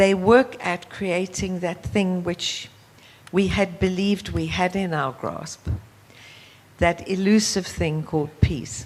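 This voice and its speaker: Speaking with a South African accent, a woman talks at a fairly slow pace in a fairly low voice with ordinary pitch variation. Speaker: youth leadership organization founder. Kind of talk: panel discussion.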